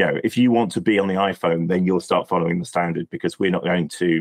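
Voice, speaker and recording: Speaking fairly quickly with a British accent, a man with very deep, low pitch keeps his intonation fairly even. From UK. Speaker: API industry expert. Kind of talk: podcast interview. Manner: halting, frequent repetitions and fillers.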